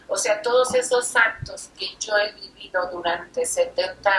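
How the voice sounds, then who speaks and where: A woman talks at a very slow pace and a medium pitch, with ordinary pitch variation. Noticeable background noise runs behind her. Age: 70s. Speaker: interviewer in religious dialogue. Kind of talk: casual chat.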